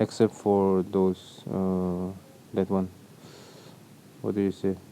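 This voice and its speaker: A man's very deep, low voice with a non-native accent, dark and mellow in tone, very slow and flat in a monotone. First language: not English. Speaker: video editing tutorial maker. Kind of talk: tutorial. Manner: casual, with fillers and self-corrections.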